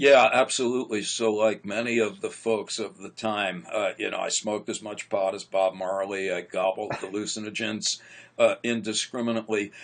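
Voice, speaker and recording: An ordinary speaking voice from a man, fairly low in pitch, at a moderate pace with hardly any pauses and fairly even intonation. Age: 60s. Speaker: psychologist. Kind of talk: interview conversation.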